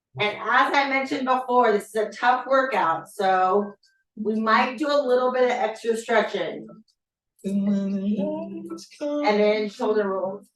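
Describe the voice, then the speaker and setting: Over background music, a woman talks at a fairly slow pace with a fairly high pitch and ordinary pitch variation. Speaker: fitness instructor. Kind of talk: workout class instruction. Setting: virtual class, video. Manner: fewer verbal cues, sparse talk.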